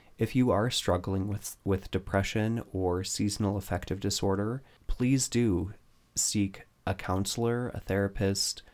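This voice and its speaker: A man's normal speaking voice, fairly low in pitch and fairly slow, with fairly even intonation, on a very clean recording with a silent background. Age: 30s. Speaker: podcast co-host. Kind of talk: casual chat.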